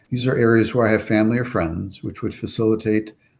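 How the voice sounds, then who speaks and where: A man talks with an ordinary speaking voice, fairly low in pitch, at a fairly quick pace with fairly even intonation. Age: 60s. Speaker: cancer patient. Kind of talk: testimony. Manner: formal.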